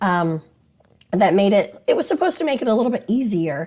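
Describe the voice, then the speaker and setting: A woman's somewhat breathy voice at a medium pitch. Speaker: attorney. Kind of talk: casual talk to camera about maritime law. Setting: on location in Washington DC.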